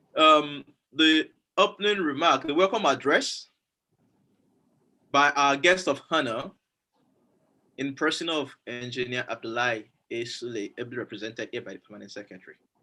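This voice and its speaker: A man talks at a moderate pace in a bright, sharp tone, with lively intonation and big swings in loudness. He leaves long, frequent pauses, and the recording is very clean with a silent background. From Nigeria, Yoruba. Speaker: event moderator. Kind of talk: formal event hosting. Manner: formal.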